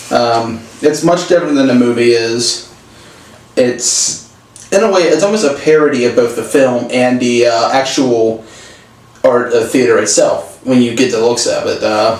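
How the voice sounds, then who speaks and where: Over noticeable background noise and audible room echo, a man speaks at medium pitch and a moderate pace, with ordinary pitch variation and very even loudness. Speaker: film reviewer. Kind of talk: casual chat. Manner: soft-spoken; halting.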